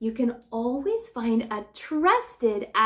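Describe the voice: Lively intonation over plain reading aloud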